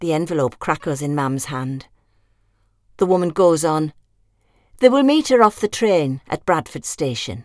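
A woman's very deep, low voice with a warm tone, very wide pitch swings, and long, frequent pauses. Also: moderate pace. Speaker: audiobook narrator. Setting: studio. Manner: measured storyteller pace, warm and wistful, dry affectionate humour.

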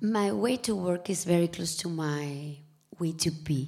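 Somewhat breathy, a woman with a Spanish accent speaks fairly slowly with ordinary pitch variation. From Spain. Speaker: TV and film producer. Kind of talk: live panel discussion. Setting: stage with audience.

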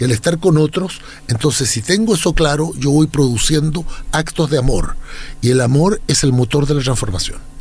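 Over background music, a man with a fairly high pitch talks at a moderate pace, with ordinary pitch variation and very even loudness. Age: 60s. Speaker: lawyer, academic and writer. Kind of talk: interview conversation.

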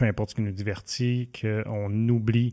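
A Quebec accent in a flat, monotone delivery, on a very clean recording with a silent background. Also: man. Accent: Québécois French. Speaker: community TV interview host. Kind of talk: casual interview. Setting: studio with camera.

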